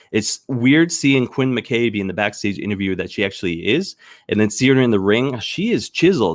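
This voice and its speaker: A man with a Canadian accent speaks at a fairly quick pace, his medium-pitched voice carrying lively intonation. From Maritime Canada, Saint John, New Brunswick. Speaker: wrestling news show host. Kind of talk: solo live news show commentary. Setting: live stream. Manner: halting, many fillers.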